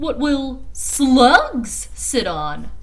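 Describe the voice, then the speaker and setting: Someone performs a put-on character voice over clear background noise. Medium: read story.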